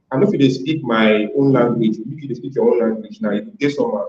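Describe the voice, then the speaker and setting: A man with a Nigerian accent, fairly high in pitch, with lively intonation at a fairly quick pace. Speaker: playwright and translator. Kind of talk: interview answer.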